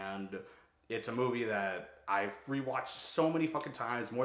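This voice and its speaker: A man with an American accent is heard with audible room echo and noticeable background noise. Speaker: YouTuber, film reviewer. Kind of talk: casual vlog monologue. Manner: fast; casual, filler-heavy.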